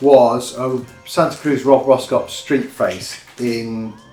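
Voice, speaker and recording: A man speaks with a British accent. His pitch is fairly high, with music in the background. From United Kingdom. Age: 50s. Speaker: skateboarder. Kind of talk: casual talk to camera, unboxing. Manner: chatty, rambling.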